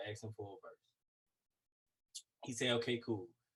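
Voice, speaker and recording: A man with an American accent speaks at medium pitch, somewhat breathy. His intonation is monotone and flat, and the sound is dry and close with no echo. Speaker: rapper. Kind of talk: casual chat. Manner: repetitive stammering restarts.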